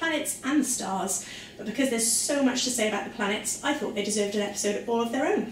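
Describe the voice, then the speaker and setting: A woman with a Welsh accent at a very fast pace and fairly high pitch, with lively intonation, audible room echo, and light background noise. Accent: soft Welsh. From South Wales. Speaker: science presenter for children. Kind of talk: educational lesson for children. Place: kitchen. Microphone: camera far.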